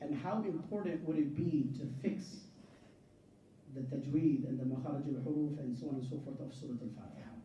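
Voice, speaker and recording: A man's fairly quick speech, with ordinary pitch variation, carries audible room echo and sits over noticeable background noise. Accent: American. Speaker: Islamic scholar. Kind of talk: religious talk to a congregation.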